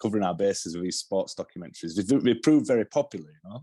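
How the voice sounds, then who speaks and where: In a Yorkshire accent, a man talks very fast at a fairly low pitch with a dark, mellow tone and ordinary pitch variation. The recording is dry and close with no echo, over a quiet background. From northern England, Yorkshire (Halifax). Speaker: television director. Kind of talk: interview. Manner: halting, many restarts.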